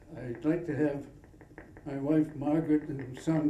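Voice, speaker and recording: A man with a fairly high pitch speaks at a fairly slow pace in a monotone, flat way. Noticeable background noise and audible room echo surround him. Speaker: award recipient, long-term diabetes patient. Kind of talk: acceptance speech.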